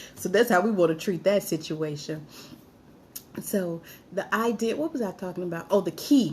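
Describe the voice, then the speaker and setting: Speaking in an American accent, a woman has a medium pitch, ordinary pitch variation and a somewhat breathy voice. She keeps a moderate pace with long, frequent pauses. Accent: Alabama Southern accent slipping through. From Alabama, US South. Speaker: live-stream host, military veteran. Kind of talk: live-stream talk reading viewer comments. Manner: casual, with false starts and stumbles.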